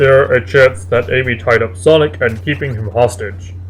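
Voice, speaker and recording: Clear background noise accompanies a man doing a put-on character voice at a medium pitch and a moderate pace. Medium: read story.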